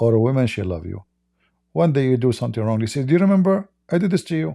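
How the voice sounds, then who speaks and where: A dark, mellow tone with an Arabic accent and very wide pitch swings, on a very clean recording with a silent background. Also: man. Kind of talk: live stream talk.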